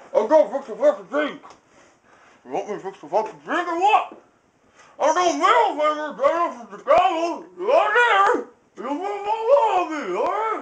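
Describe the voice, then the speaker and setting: The pitch of this put-on character voice leaps up and down enormously. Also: man, extremely high pitch for a man, moderate pace. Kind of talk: amateur comic overacting. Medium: comedy sketch. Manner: erratic, profane, aggressive.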